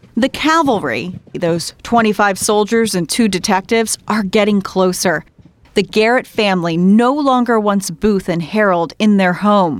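A woman speaks in an ordinary speaking voice, with an American accent and a medium pitch. Her loudness stays very even, her pitch varies in the usual way, and her pace is fairly slow. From southern Maryland. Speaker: podcast host and TV reporter. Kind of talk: scripted narration.

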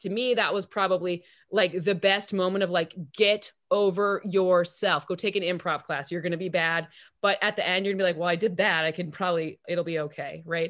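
A woman with an American accent and an ordinary speaking voice, medium in pitch, at a fairly quick pace with fairly even intonation against a quiet background. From Michigan, East Lansing. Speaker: football analytics expert. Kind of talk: casual interview.

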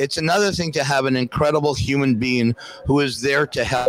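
A man with an unremarkable speaking voice, fairly high in pitch, at a moderate pace, in a dry, close sound with no echo. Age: 60s. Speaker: former hockey goalie and coach. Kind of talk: casual chat. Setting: live event at a restaurant.

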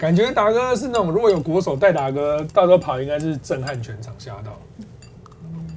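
Speaking with a Taiwanese accent, a man with a fairly high pitch sounds animated, using very wide pitch swings, big swings in loudness and hardly any pauses. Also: moderate pace. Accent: Taiwanese Mandarin. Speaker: livestream host. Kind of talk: casual chat.

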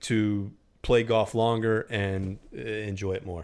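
Here a man has a normal speaking voice with a fairly low pitch. He goes at a fairly slow pace with fairly even intonation, in a very clean recording with a silent background. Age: 40s. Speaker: golf podcast host. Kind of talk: casual chat.

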